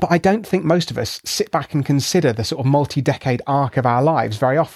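A man talks very fast with a British accent, his pitch fairly high and its variation ordinary. The sound is dry and close, with no echo. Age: 30s. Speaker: scientist and author. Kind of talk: interview.

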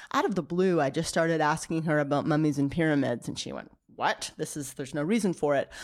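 On a very clean recording with a silent background, a woman speaks fairly quickly in a plain, everyday voice, fairly low in pitch with fairly even intonation. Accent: American. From Maine, US. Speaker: archaeology professor. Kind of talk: interview. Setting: in person.

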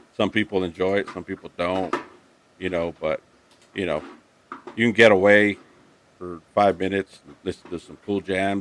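Dry and close with no echo but with noticeable background noise, a man's very deep, low voice moves at a moderate pace in a monotone, flat delivery, with long, frequent pauses and big swings in loudness. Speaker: motovlogger. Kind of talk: casual chat. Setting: video call.

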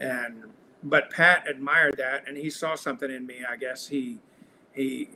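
This man has a Texan accent, a bright, sharp tone and a fairly high pitch, with fairly even intonation. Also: moderate pace, big swings in loudness. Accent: Texan Southern US. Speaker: singer-songwriter. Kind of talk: casual interview chat. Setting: video call. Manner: halting.

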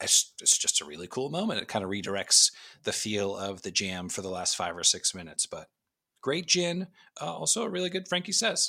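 Vocal fry runs through a bright, sharp tone that moves at a fairly quick pace with very wide pitch swings, on a very clean recording with a silent background. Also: man, medium pitch for a man. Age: 40s. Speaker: podcast guest, music fan. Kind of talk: casual chat.

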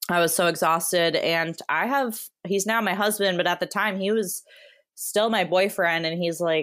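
A woman with an American accent speaks at a fairly slow pace in a normal speaking voice, her pitch fairly low. The recording is very clean, with a silent background. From Wisconsin. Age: 30s. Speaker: hiker and content creator. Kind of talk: casual interview.

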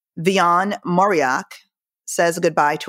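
A woman's fairly low voice at a fairly slow pace, ordinary pitch variation, dry and close with no echo, in a very clean recording with a silent background. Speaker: book club host. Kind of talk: casual book club discussion. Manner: animated.

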